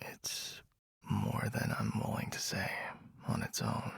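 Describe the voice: A man whispers in a put-on character voice. He talks at a slow pace with vocal fry.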